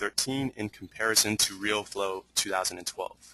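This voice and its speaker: Against light background noise, a man with a fairly low pitch and a bright, sharp tone talks at a moderate pace, the sound dry with no echo. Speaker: webinar host. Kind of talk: live Q&A moderation. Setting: online webinar. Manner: stuttering, hesitant. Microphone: video call.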